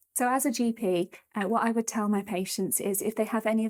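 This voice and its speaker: A woman talks at a fairly quick pace in a normal speaking voice. Her pitch varies in an ordinary way. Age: 30s. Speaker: doctor. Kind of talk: testimony and health advice.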